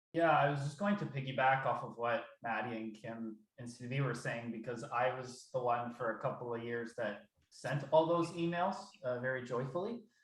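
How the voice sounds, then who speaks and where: A man talks at a moderate pace, his voice somewhat breathy and his pitch varying in an ordinary way. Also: medium pitch for a man. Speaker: research program administrator. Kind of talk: work meeting discussion.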